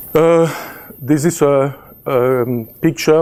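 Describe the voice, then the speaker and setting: A man's dark, mellow tone carries fairly even intonation. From Belgium. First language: French. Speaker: chemistry professor. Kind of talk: presentation. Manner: halting, many fillers.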